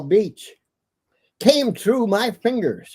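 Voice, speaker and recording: The speech comes at a very slow pace with a dark, mellow tone and an Upper Midwest accent. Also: man. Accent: Upper Midwest American. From Minnesota, USA. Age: 80s+. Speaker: war veteran. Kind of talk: interview answer.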